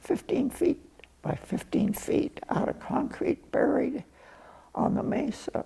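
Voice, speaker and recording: A man with an American accent and a dark, mellow tone speaks at a very slow pace. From US West, Colorado (Roaring Fork Valley). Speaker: oral history interviewee, rancher's son. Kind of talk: oral history interview. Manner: halting.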